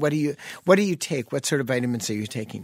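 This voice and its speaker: A man is speaking. His pace is very fast. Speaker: physician and radio show host. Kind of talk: call-in health radio show. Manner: jovial, laughs often.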